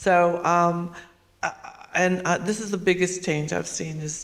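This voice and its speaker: At a very slow pace, a woman speaks in a fairly low, monotone voice with flat intonation and long, frequent pauses. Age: 70s. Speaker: artist. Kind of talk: panel discussion. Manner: halting.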